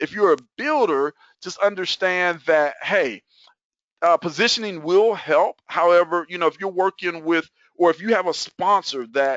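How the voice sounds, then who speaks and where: A man's high-pitched, animated tone with ordinary pitch variation. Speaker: network marketing promoter. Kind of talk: webinar presentation. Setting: online webinar at computer. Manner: fast.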